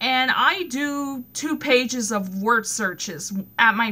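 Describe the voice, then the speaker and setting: With an American accent, a woman speaks at a high pitch in a bright, sharp tone and lively intonation. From US West, California. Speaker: vlogger. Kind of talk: casual personal vlog monologue. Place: home room. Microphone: phone near.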